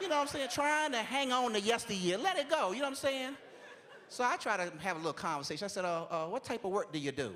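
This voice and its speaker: A man speaks in a raised, projected voice at a very fast pace. His animated tone swings very widely in pitch. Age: 40s. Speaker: comedian. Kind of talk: stand-up.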